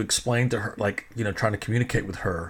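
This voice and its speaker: This is a man with an American accent. His tone is animated. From Texas. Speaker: podcast host, DJ and filmmaker. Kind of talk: casual storytelling monologue.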